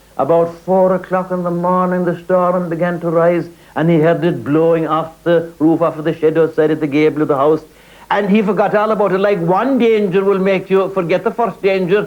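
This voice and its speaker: A man speaks with an Irish accent, his pitch high and his intonation fairly even. His loudness stays very even at a fairly quick pace. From Ireland, County Kerry. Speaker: actor and storyteller. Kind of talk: traditional folk storytelling performance.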